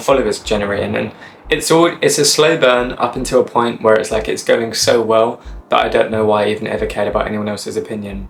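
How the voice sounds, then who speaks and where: The speaker has an English accent and talks at a very fast pace. Background noise is noticeable. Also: man. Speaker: YouTuber. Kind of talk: casual chat. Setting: summer house. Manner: soft-spoken.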